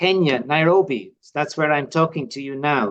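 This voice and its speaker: A man with a Dublin accent talks at a fairly slow pace. His voice sits fairly high, with ordinary pitch variation. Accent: Irish (Dublin). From Ireland, Dublin. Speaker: lay religious community member. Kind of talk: personal testimony interview. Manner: halting, many fillers.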